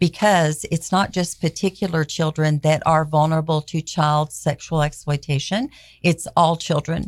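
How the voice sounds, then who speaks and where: A woman speaks with a very deep, low pitch at a moderate pace, her intonation fairly even. Her loudness stays very even in a very clean recording with a silent background. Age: 60s. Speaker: founder of child-protection nonprofit. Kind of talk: radio interview. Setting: radio studio.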